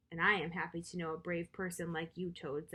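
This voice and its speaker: Putting on a character voice, a woman speaks at a fairly low pitch and a fairly quick pace with monotone, flat intonation. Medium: read story.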